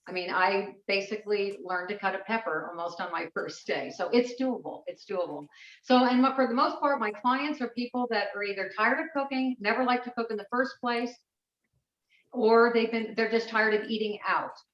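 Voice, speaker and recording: At a fairly quick pace, a woman with fairly high pitch and ordinary pitch variation uses an unremarkable speaking voice. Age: 60s. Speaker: personal chef and cooking teacher. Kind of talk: online class presentation. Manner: casual, with many fillers.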